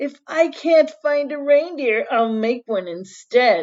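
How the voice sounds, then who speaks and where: A woman puts on a growling character voice pitched high. She speaks at a fairly slow pace against a quiet background. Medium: read story. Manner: snarling, sneering.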